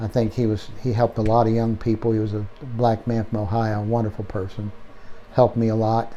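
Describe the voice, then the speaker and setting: A man's medium-pitched voice, very fast and flat, in a monotone. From Pennsylvania. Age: 70s. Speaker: horse trainer. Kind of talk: interview storytelling. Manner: halting.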